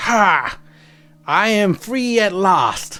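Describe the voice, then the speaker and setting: Shouting in a put-on character voice at a fairly high pitch, the speaker is backed by faint music. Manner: shouting, triumphant.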